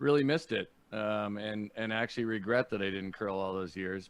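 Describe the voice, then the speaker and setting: A man speaks in a plain, everyday voice with a Canadian accent, pitched fairly low with ordinary pitch variation. His pace is moderate, and the background is quiet. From Canada, Niagara Falls, Ontario. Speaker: podcast host and comedian. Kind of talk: casual chat.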